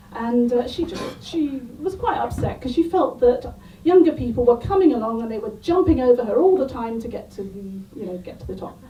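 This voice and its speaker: A woman's high-pitched, fairly quick speech with very wide pitch swings and big shifts in loudness, over noticeable background noise. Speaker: stand-up comedian. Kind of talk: stand-up comedy set to a pub audience. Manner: storytelling, building up the anecdote.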